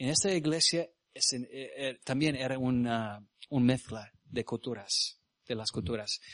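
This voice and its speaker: With an English accent, a man talks at a fairly slow pace in a medium pitch. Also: ordinary pitch variation. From US South, Mississippi. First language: English (speaking Spanish). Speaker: missionary preacher. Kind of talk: sermon. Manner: halting.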